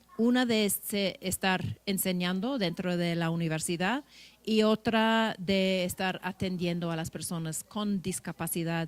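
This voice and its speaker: Captured in a very clean recording with a silent background, a woman speaks at a medium pitch and fairly slow pace with ordinary pitch variation. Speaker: law professor. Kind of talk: panel presentation. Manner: halting.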